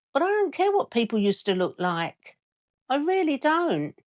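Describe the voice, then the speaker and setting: The recording is dry and close with no echo as a woman with an English accent speaks at a moderate pace. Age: 60s. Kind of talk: casual talk to camera.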